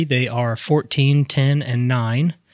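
Recorded very cleanly with a silent background and a dry, close sound free of echo, a man with an American accent talks at a medium pitch with fairly even intonation. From US Midwest, Indiana. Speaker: health coach. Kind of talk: casual interview. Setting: studio. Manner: halting, many fillers.

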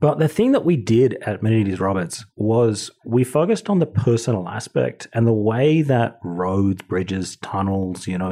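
Medium in pitch, this man speaks with an Australian accent. His intonation is lively and his pace is moderate. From Australia (Wagga Wagga, Sydney). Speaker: brewing director. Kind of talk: casual chat.

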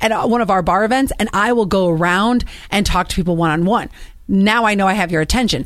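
A woman's ordinary speaking voice, medium in pitch, at a fairly quick pace with lively intonation. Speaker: radio host. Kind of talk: casual chat.

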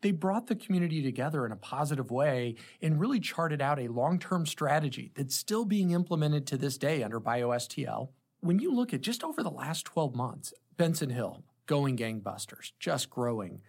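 Somewhat breathy, a man speaks at a fairly high pitch with lively intonation. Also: moderate pace. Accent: American. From St. Louis metro, Illinois side (Granite City). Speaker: tech company co-founder and CEO. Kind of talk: interview conversation.

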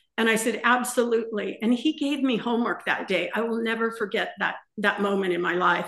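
A woman with an American accent speaks at a fairly high pitch and a moderate pace, with ordinary pitch variation. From Southern California, San Gabriel Valley. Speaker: retired ceramics teacher and salsa business owner. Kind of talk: interview.

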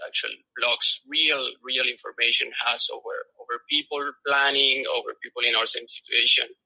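A man with a South American Spanish accent at a moderate pace, in a dry, close sound with no echo. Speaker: engineer and travel blogger. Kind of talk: casual interview.

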